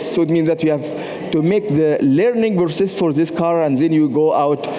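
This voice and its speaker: A man with a fairly high pitch speaks at a moderate pace with ordinary pitch variation, over noticeable background noise. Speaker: university professor and researcher. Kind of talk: conference presentation. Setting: stage at a trade fair. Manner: hesitant, with many fillers.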